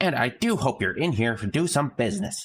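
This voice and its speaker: In a very clean recording with a silent background, a man puts on a character voice, pitched fairly high with very wide swings, at a fairly quick pace. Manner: silly, salesy.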